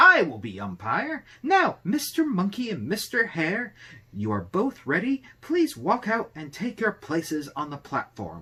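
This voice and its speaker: Putting on a character voice, a man talks at a high pitch and a fairly slow pace. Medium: read story. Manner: officious, encouraging.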